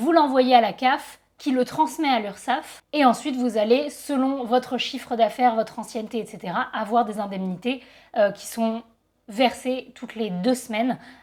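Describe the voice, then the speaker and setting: In a very clean recording with a silent background, a woman speaks at a fairly slow pace, high in pitch with ordinary pitch variation. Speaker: photographer and YouTuber. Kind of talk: casual vlog talk.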